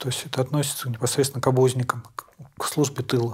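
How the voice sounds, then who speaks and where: Somewhat breathy and medium in pitch, a man talks at a fairly quick pace with fairly even intonation. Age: 40s. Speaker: prisoner of war, contract soldier. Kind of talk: interview. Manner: halting.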